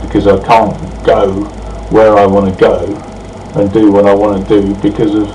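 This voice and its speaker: Monotone and flat, a man speaks at a fairly low pitch and a moderate pace with a southern English accent. The room echo is audible, and background noise is noticeable. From England. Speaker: vlogger. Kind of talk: video response monologue. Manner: hesitant, many fillers.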